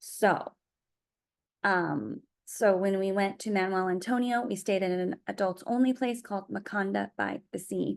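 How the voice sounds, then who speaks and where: A woman has an unremarkable speaking voice at a medium pitch. She speaks at a fairly slow pace with fairly even intonation. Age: 40s. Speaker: vlogger and marathon runner. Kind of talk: casual vlog monologue. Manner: rambling, with many fillers.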